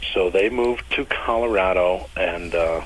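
Noticeable background noise runs beneath this man's voice. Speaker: bass player. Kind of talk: casual interview.

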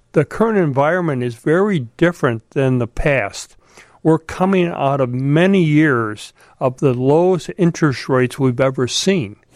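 Against a quiet background, a man with a fairly high pitch speaks at a moderate pace with lively intonation, a plain, everyday voice. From Chicago. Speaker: investment firm founder and Air Force veteran. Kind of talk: radio interview. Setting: studio.

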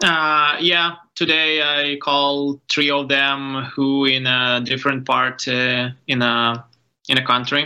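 A man with a Ukrainian accent, fairly high in pitch and bright, sharp in tone, at a very slow pace with monotone, flat intonation and very even loudness. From Ukraine. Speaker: photographer. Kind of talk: interview. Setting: video call. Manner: halting.

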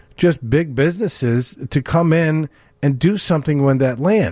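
Somewhat breathy, a man with a New York accent speaks at a moderate pace. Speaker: mortgage lender. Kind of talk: call-in radio advice show. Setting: radio studio.

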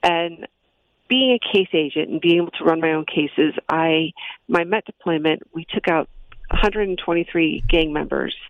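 A woman speaks in a normal speaking voice with an American accent. Her pitch is fairly low with ordinary variation, and her pace is fairly slow. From US Midwest, Chicago. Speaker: federal drug enforcement agent. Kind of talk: radio interview. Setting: phone call.

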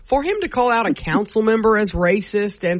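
The voice is somewhat breathy and carries a Southern US accent. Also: woman. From Louisiana. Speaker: radio host. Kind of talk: casual chat. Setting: studio.

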